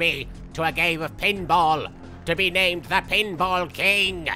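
A man's put-on character voice at fairly high pitch, with clear music in the background. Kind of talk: in-character game commentary. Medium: actual play. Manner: sarcastic, comedic.

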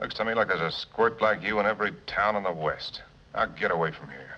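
A man talks at a very fast pace in a fairly low voice. His loudness swings widely. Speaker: film actor as gunfighter. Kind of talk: film dialogue. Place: bar. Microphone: old recording.

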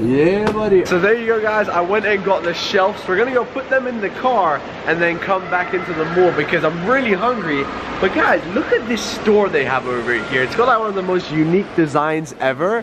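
There is noticeable background noise as a man talks at a fairly quick pace. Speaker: vlogger. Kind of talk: casual vlog chat. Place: shop. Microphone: phone near.

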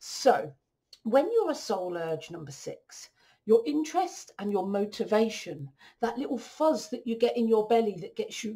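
Over a quiet background, a woman speaks at a moderate pace in a dark, mellow, somewhat breathy tone. Her pitch swings very widely and her loudness shifts a lot. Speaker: coach. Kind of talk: explainer talk over slides. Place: home room. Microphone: webcam.

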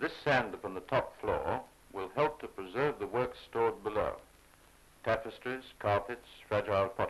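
Speaking in a British accent, a man keeps to a moderate pace. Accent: 1930s British received pronunciation. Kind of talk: 1930s newsreel narration. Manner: formal, measured, authoritative; brisk, clipped, declamatory delivery.

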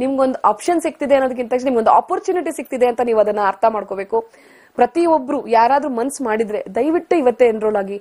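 Over a quiet background, a woman speaks at a high pitch with lively intonation. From Bangalore, India; India. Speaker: astrology student. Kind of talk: TV interview testimony. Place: studio. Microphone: lapel.

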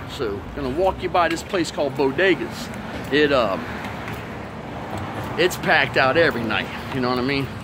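The man's speech has normal pitch movement and a medium tempo, with clear background noise behind it. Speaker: walking vlogger. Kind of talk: casual vlog chat. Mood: loose, crude, joking. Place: street. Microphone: phone near.

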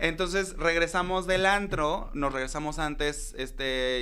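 In a room with audible echo, a man talks at a fairly high pitch with ordinary pitch variation. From Acapulco, Guerrero, Mexico. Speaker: drag queen. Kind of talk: casual chat.

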